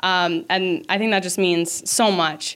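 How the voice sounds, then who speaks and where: A woman with an American accent talks in a fairly low pitch. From Minnesota. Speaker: college gymnast. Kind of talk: interview.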